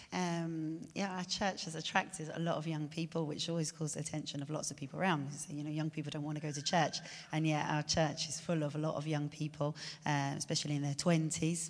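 A woman talks at a very fast pace. Her pitch is very deep and low, and her intonation is monotone and flat. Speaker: missionary. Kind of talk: interview. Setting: church. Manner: halting.

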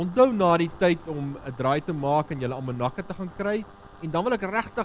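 Noticeable noise runs through the background. A man talks with lively intonation. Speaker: pastor. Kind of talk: sermon.

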